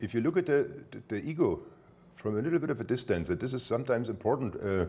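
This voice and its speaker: Talking very fast with lively intonation, a man with a German accent breaks often into long pauses. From Germany. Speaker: spiritual teacher. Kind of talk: spiritual talk. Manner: halting, repetitive.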